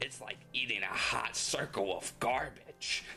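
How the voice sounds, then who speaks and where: A put-on character voice, low in pitch and at a fairly slow pace, over clear background noise. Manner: exaggerated, mocking.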